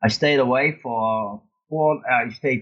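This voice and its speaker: A man with a Dutch accent speaks with ordinary pitch variation. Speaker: long-distance motorcyclist and author. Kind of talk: interview. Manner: halting.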